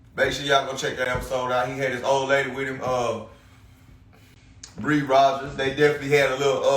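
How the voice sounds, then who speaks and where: At a very fast pace broken by long, frequent pauses, a man speaks at a medium pitch amid noticeable background noise and audible room echo. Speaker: podcast host. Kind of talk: casual solo podcast monologue. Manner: loud; halting, many fillers.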